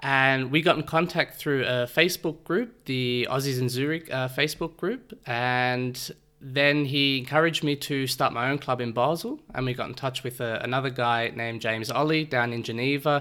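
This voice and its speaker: With an Australian accent, this speaker has a bright, sharp tone, fairly even intonation, and hardly any pauses. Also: man, medium pitch for a man, moderate pace. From Australia, Melbourne. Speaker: amateur sports league organiser and umpire. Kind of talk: interview.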